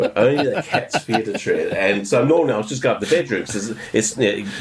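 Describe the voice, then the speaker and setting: With an Australian accent, this man talks at a fairly quick pace. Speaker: photography podcast co-host. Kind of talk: casual chat. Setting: video call. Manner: loud.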